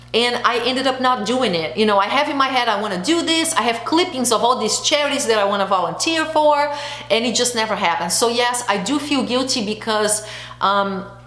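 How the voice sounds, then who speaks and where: A woman speaks loudly at a fairly quick pace, high in pitch, with lively intonation and an animated tone. Noticeable background noise and audible room echo surround her. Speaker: beauty and lifestyle vlogger. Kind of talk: casual chat.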